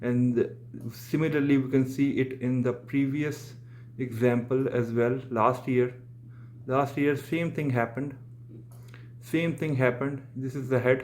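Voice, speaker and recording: A man speaks at a medium pitch, fairly slowly, in a flat monotone. He leaves long, frequent pauses. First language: Urdu/Hindi. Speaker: crypto trader and market analyst. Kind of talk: tutorial. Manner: halting, many fillers and restarts.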